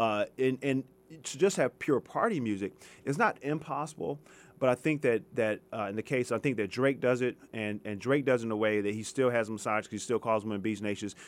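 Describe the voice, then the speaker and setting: In an unremarkable speaking voice, a man with an American accent talks at a fairly quick pace and medium pitch, with ordinary pitch variation, on a very clean recording with a silent background. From US West Coast, Los Angeles. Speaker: history professor. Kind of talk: radio interview. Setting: radio studio.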